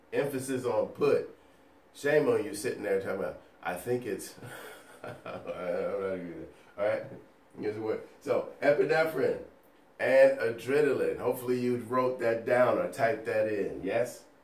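A man speaks at a moderate pace, leaving long, frequent pauses, and his loudness swings a lot. Room echo can be heard. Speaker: nursing educator. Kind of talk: lecture. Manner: casual, conversational.

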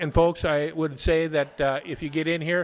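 A man's fairly high-pitched voice at a moderate pace.

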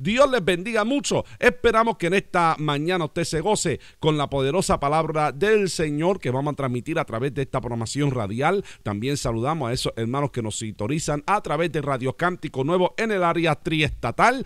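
A man's fairly high voice at a fairly quick pace with lively intonation, in dry sound with no echo and a quiet background. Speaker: pastor. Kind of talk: prayer and radio announcements. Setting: radio program. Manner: formal. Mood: warm, smiling. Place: studio. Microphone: studio mic.

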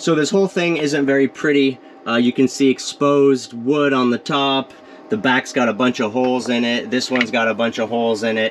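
A man talks at a fairly quick pace with ordinary pitch variation and very even loudness. Light background noise is present. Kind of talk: tutorial. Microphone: phone near.

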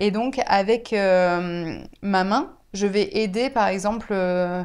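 A woman at a very slow pace against a quiet background. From France, Bordeaux; France. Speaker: teacher of deaf pupils. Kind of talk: interview. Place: home room. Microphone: lapel.

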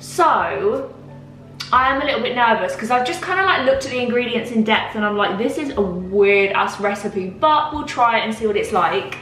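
Woman with a fairly high pitch, fairly bright tone and lively intonation at a moderate pace, faint music in the background

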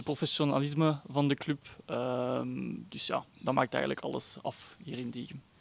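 Fairly even intonation marks this man's speech, recorded with a dry sound and no echo. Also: moderate pace. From Flemish Brabant, Belgium (Kortenberg); Flemish Brabant, Belgium. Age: 20s. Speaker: amateur footballer. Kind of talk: interview. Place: stadium. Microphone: handheld.

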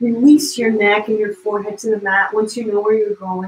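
A somewhat breathy woman speaks with audible room echo around her. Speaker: yoga instructor. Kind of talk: guided yoga flow, gentle spoken cueing of poses. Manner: soothing, invitational cues; playful, encouraging movement prompts. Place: home room. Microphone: camera far.

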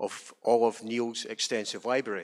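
Speaking at a moderate pace, a man talks with a Scottish accent. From Scotland. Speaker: trade union rep. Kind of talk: introductory remarks. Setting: stage with audience. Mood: calm, commemorative. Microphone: handheld.

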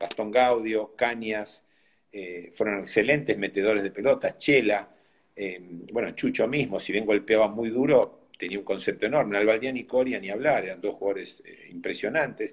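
Against a quiet background, a man with an unremarkable speaking voice talks at a fairly low pitch and moderate pace, with ordinary pitch variation and big swings in loudness. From Argentina. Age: 60s. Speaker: tennis coach; tennis coach, interview guest. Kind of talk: interview. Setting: video call. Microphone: phone near.

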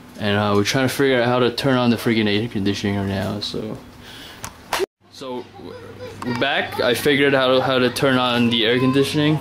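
Over noticeable background noise, the speaker moves at a fairly quick pace with fairly even intonation and long, frequent pauses. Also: man. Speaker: tourist filming video diary. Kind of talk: casual vlog narration to camera. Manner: monotone. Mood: relaxed, lightly amused. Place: home room. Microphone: phone near.

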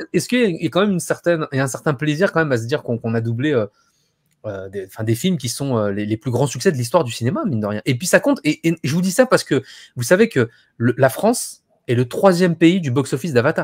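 Against a quiet background, a man talks very fast in an animated, somewhat breathy voice with a fairly high pitch and very wide pitch swings. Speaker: YouTube live host. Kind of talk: casual chat. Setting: video call. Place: home room.

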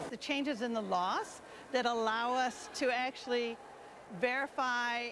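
A woman talks with ordinary pitch variation. The sound is dry with no echo, though background noise is noticeable. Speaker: resource teacher. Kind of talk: interview answer. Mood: earnest, friendly. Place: hall. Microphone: lapel.

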